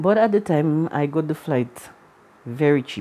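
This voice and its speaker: A woman speaks with a Caribbean accent. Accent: Caribbean accent, colloquial speech. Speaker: vlogger. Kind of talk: personal storytelling vlog. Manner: casual, colloquial.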